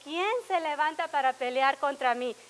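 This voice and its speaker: A raised, projected voice with ordinary pitch variation moves at a moderate pace over noticeable background noise. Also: woman. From Laredo, Texas. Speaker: pastor. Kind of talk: sermon.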